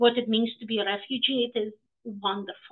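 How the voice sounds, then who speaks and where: A woman speaks with a Russian accent. Her pace is moderate. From Ukraine (Odesa), Soviet era. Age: 40s. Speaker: professor. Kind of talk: lecture. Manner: animated.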